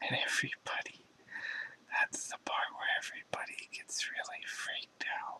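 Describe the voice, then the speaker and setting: Someone is whispering. The pace is moderate. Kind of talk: ASMR whispered reflective talk. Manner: whispered.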